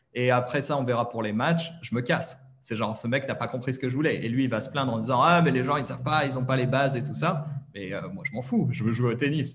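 Speaking at a fairly quick pace with hardly any pauses, a man uses a medium pitch and ordinary pitch variation over light background noise. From France. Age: 30s. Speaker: online French teacher. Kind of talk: interview. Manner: hesitant, many fillers. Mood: relaxed, chatty. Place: home room. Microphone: webcam.

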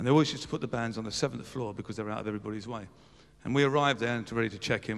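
Over a quiet background, a voice with vocal fry speaks with ordinary pitch variation. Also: man. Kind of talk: anecdotal stage storytelling. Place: stage. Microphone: handheld.

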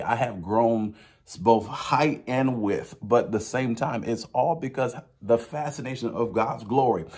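Over a quiet background, a man speaks at a moderate pace with a medium pitch and ordinary pitch variation. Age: 30s. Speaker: preacher. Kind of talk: sermon. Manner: halting. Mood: earnest, encouraging. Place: home room. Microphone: phone near.

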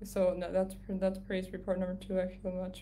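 Noticeable background noise sits behind a woman speaking at a fairly slow pace with a medium pitch. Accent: Canadian. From Canada. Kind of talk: casual livestream update. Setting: live video stream from home. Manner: soft-spoken.

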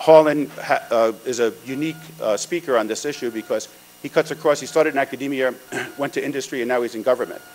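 With faint music in the background, a man talks with fairly even intonation. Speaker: event host introducing keynote. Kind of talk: conference introduction speech. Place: hall. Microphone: podium.

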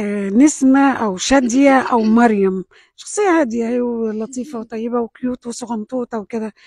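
In a quiet background with a dry sound and no echo, a woman with an Egyptian accent speaks in a high pitch, her tone dark and mellow and her pitch variation ordinary. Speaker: TV talk show host. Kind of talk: interview. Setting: studio with audience. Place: studio.

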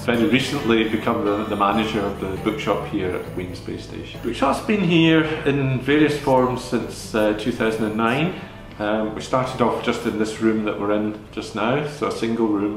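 Clear music plays behind a man speaking at a moderate pace with ordinary pitch variation. Audible room echo surrounds his voice. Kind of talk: interview answer. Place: shop.

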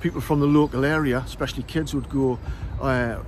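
Over light background noise, a man speaks in a flat monotone at a very fast pace, the sound dry with no echo. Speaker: local history guide. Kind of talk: casual explanatory vlog. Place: open country. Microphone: lapel.

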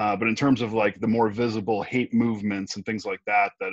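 In a normal speaking voice, a man talks at a fairly low pitch with ordinary pitch variation, in a dry sound with no echo and a quiet background. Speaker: remote interview guest. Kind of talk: interview answer. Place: home room. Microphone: earbuds.

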